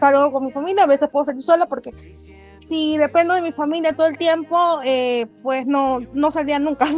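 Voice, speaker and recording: A woman's high-pitched voice at a fairly quick pace, fairly even in intonation, with music in the background. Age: 30s. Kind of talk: interview conversation. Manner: fast; halting, repeats words.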